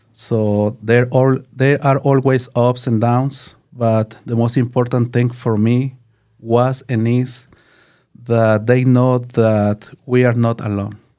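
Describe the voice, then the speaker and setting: The tone is dark and mellow, with a Mexican accent. The pace is very slow. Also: man, medium pitch for a man. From Mexico City, Mexico. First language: Spanish. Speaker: maintenance team leader. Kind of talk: interview. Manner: halting.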